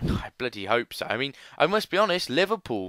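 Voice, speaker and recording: With an English accent and very wide pitch swings, a man talks at a moderate pace in a bright, sharp tone, recorded very clean with a silent background and a dry, close sound with no echo. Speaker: gaming youtuber. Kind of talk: gameplay commentary. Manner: animated.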